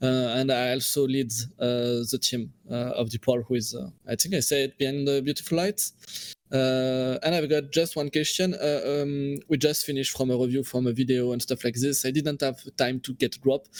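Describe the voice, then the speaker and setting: With a French accent, a man talks at a moderate pace in a medium pitch, his intonation fairly even. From France. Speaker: game studio CEO and lead developer. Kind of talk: interview. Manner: halting.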